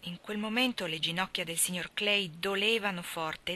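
The voice reads in an unforced reading voice with ordinary pitch variation.

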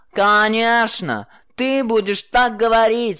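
Hissing, fairly high put-on character voice at a fairly slow pace, over a quiet background. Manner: contemptuous, hissed.

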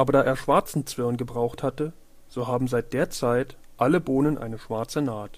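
At a moderate pace, a man talks in a medium pitch with fairly even intonation.

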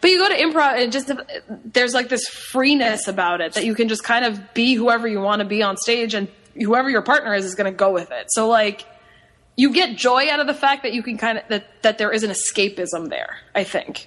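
A woman talks at a fairly quick pace with an American accent, her pitch fairly high. She has an ordinary speaking voice with ordinary pitch variation. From Long Island, New York. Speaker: improv performer. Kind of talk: casual chat.

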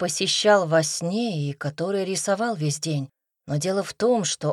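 Quiet surroundings and plain reading aloud

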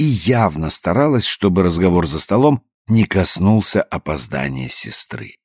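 Quiet background, natural reading voice

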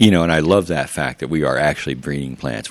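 Very deep and low in pitch, a man with an American accent speaks with ordinary pitch variation. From Kansas, US Midwest. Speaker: gardening teacher and seed library founder. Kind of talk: casual interview.

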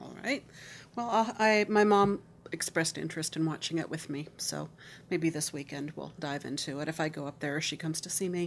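A woman's very deep, low pitch with vocal fry, a fairly quick pace and ordinary pitch variation. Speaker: podcast host. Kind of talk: casual chat.

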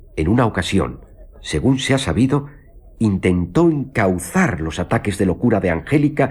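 The clip is a natural reading voice with lively intonation.

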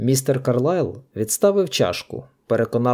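An unforced reading voice with lively intonation and a quiet background

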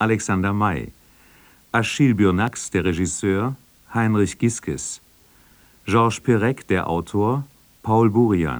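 A man with a fairly low pitch talks at a fairly slow pace, his intonation lively.

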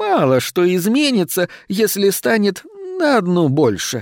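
A put-on character voice with big pitch swings at a fairly slow pace, in a dry, close sound with no echo. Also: man, high pitch for a man.

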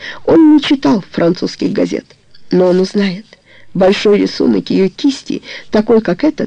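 The clip features a natural reading voice. The words are read aloud.

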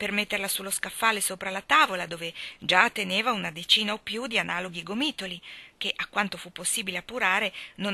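Reading in an unforced voice

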